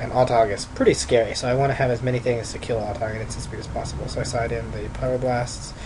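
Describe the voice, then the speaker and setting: Speaking at a fairly quick pace, a man with a medium-pitched voice uses ordinary pitch variation over noticeable background noise. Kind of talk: gameplay commentary. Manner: casual, thinking aloud.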